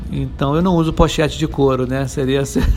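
Both audible room echo and noticeable background noise surround a man as he talks. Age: 50s. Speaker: IT professional, agile practitioner. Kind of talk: podcast interview. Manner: casual, filler-heavy speech.

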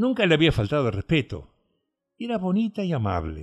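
A man's theatrical, menacing tone at a fairly high pitch, with very wide pitch swings and music in the background. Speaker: audiobook narrator. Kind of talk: dramatic narration of a gothic story, read aloud. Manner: hushed, theatrical, menacing tone with suspenseful pacing.

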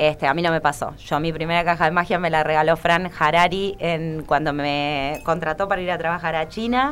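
With an unremarkable speaking voice and fairly low pitch, a woman talks at a moderate pace with fairly even intonation and hardly any pauses. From Argentina. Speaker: magician and burlesque performer. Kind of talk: interview.

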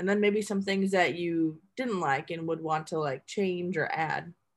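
On a very clean recording with a silent background, a woman with an American accent and a normal speaking voice talks at a moderate pace, fairly low in pitch, with ordinary pitch variation. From Milwaukee, Wisconsin. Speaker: interviewer. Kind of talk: interview.

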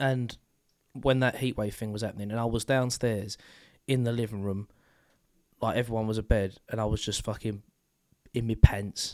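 With a British accent, a man speaks in a flat monotone with long, frequent pauses, recorded very cleanly against a silent background. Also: medium pitch for a man, moderate pace. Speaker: podcast co-host. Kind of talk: casual chat.

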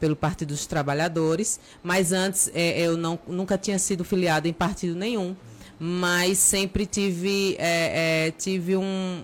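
The woman's voice sits fairly low. She speaks at a very slow pace. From Brazil, Aracaju (Sergipe). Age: 40s. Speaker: teacher, lawyer and local politician. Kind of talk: casual interview.

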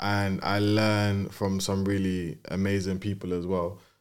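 A fairly low-pitched man speaks at a very slow pace. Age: 20s. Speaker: co-founder of a creative platform. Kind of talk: casual chat.

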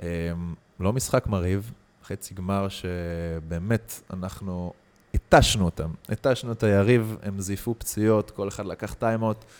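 A man speaks in a normal speaking voice, fairly low in pitch, at a fairly slow pace with fairly even intonation. The recording is very clean with a silent background, and the sound is dry and close with no echo. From Israel. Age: 20s. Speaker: athlete, footvolley champion and former footballer. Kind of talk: casual interview chat.

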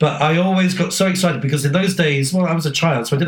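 A man speaks very fast with ordinary pitch variation while noticeable background noise continues. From UK. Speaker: podcast co-host. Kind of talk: casual chat.

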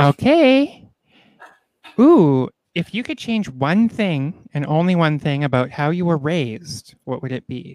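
A plain, everyday voice at a fairly slow pace, with lively intonation and a dry, close sound with no echo. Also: man, fairly high pitch for a man. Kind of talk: casual chat.

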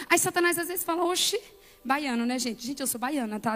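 High in pitch, a woman speaks in an animated tone. Her intonation is lively. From Brazil, Bahia sertão (Conceição do Coité). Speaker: pastor and motivational speaker. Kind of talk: sermon.

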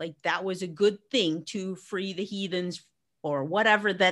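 On a very clean recording with a silent background, a woman with an American accent speaks fairly slowly in an unremarkable speaking voice, medium in pitch and fairly even in intonation. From US, Arizona. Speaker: educator and business strategist. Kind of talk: interview conversation.

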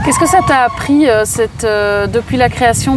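Noticeable background noise sits under the audio. The words come at a fairly slow pace. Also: woman. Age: 30s. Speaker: podcast host. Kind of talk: interview. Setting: outdoors in a park.

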